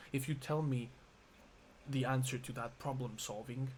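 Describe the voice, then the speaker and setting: A man speaks in a somewhat breathy voice with monotone, flat intonation. There is audible room echo. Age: 20s. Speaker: vlogger. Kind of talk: emotional monologue vlog. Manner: halting.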